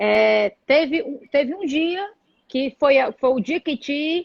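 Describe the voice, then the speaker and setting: A woman speaks with lively intonation. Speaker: interview host. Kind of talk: live video interview.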